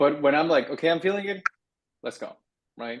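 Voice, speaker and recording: A man's voice in a Spanish accent. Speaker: writing workshop instructor. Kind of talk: workshop Q&A. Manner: casual, animated.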